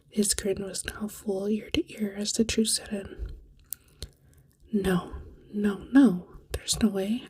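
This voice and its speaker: This soft-spoken speaker talks at a very slow pace. Pauses are long and frequent. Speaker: ASMR storyteller. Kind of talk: read story.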